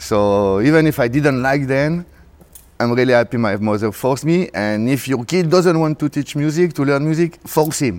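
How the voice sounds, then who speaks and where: This man has a French accent and a fairly high pitch. His intonation is lively, and his pace is moderate. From France, Paris. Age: 40s. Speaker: DJ and music producer. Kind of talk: interview. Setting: backstage at a club event in a theater.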